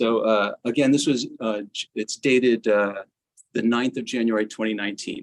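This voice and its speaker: This man has a normal speaking voice and an American accent, at medium pitch and moderate pace. Intonation stays fairly even, and the sound is dry and close with no echo. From United States. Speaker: gamelan musician and teacher. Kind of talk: memorial tribute speech. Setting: hybrid memorial gathering, live-streamed.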